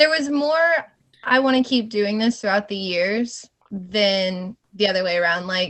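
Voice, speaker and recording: Using lively intonation, a woman with a slight Southern US accent speaks at a medium pitch and fairly slow pace. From Georgia (US South). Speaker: scare actress and stunt woman. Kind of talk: podcast interview.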